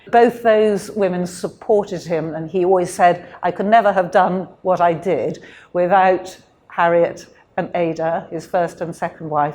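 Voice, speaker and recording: A woman in a British accent speaks at a fairly low pitch with a dark, mellow tone. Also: very clean recording, silent background. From UK. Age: 70s. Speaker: interviewee, descendant of a missionary. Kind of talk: interview. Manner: hesitant, many fillers.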